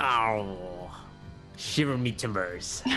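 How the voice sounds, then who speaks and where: A man does a put-on character voice while clear music plays in the background. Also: fairly low pitch for a man. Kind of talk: mock-archaic speech. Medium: actual play.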